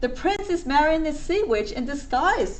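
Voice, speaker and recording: A woman's put-on character voice at a moderate pace, with clear background noise. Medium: read story. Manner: eager, exclamatory.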